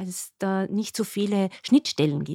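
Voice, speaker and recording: A dark, mellow tone at a fairly slow pace with ordinary pitch variation, dry and close with no echo, on a very clean recording with a silent background. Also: woman. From Upper Austria. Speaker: nurse and diabetes educator. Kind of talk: podcast interview.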